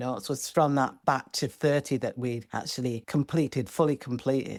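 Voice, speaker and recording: This woman has a Yorkshire accent and a very deep, low pitch with ordinary pitch variation. The recording is very clean, with a silent background. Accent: Northern English (Yorkshire). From Bradford, England. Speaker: singer-songwriter. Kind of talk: podcast interview answer.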